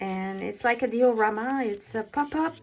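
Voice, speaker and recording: Over noticeable background noise, someone with a French accent talks fairly slowly with lively intonation. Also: woman. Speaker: paper craft demonstrator. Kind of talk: casual craft tutorial talk to camera. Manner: hesitant, many fillers.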